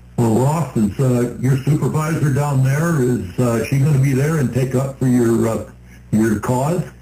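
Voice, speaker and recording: This man's voice sits at a medium pitch, with ordinary pitch variation and a fairly slow pace. The loudness is very even, and the room echo is audible. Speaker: radio show co-host. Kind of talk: radio talk show. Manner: stutters.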